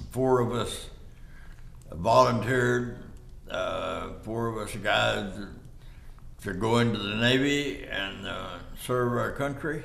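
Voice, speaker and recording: With a West Texas accent, the voice moves at a very slow pace with long, frequent pauses, over noticeable background noise and audible room echo. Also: man, medium pitch for a man, ordinary pitch variation. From Texas, Haskell and the Panhandle. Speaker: war veteran. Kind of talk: oral history interview. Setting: studio. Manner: halting.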